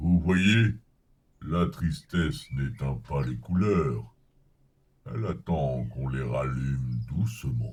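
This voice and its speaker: In a put-on character voice, a soft-spoken man talks at a very slow pace with long, frequent pauses. His pitch is very deep and low. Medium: audio drama. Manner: slow, soft, wise.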